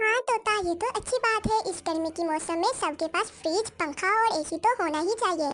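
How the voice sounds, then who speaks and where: In a squeaky, cartoonish character voice, a woman speaks at an extremely high pitch with lively intonation. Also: moderate pace. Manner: moralizing, emotional.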